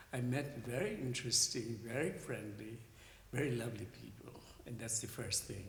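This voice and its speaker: A man speaks over noticeable background noise. The room adds audible echo. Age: 70s. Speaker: artist. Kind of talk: panel discussion.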